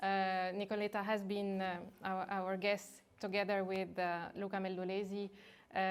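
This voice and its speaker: A woman with a non-native accent talks at a moderate pace in a medium pitch. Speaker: academic moderator. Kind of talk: seminar introduction. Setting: academic seminar, in person and online. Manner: halting, many fillers.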